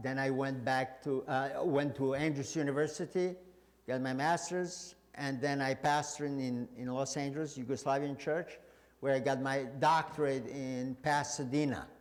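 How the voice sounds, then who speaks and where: With audible room echo around him, a man speaks at a fairly high pitch with fairly even intonation. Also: moderate pace. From Serbia. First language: Serbian. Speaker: pastor. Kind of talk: sermon. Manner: halting, many fillers.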